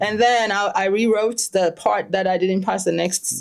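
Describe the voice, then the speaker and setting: Her intonation fairly even, a woman speaks at a medium pitch and a moderate pace. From Ghana. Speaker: stress and financial clarity coach. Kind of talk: podcast interview.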